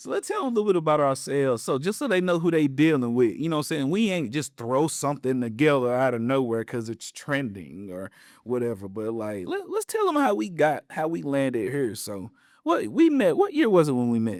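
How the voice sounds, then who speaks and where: In a plain, everyday voice with an American accent, the speaker uses lively intonation on a very clean recording with a silent background. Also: man, fairly high pitch for a man, fairly quick pace. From Western North Carolina (Appalachia). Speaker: podcast co-host, minister. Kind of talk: casual conversational podcast.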